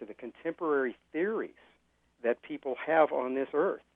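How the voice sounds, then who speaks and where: A man with a plain, everyday voice, a fairly high pitch and a moderate pace. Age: 60s. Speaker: author, former pastor. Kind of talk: interview.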